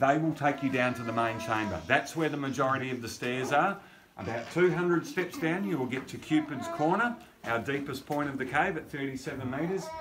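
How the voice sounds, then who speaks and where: A man talking at a moderate pace with ordinary pitch variation, clear music playing behind him. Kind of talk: tour briefing. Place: tunnel cave. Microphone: camera far.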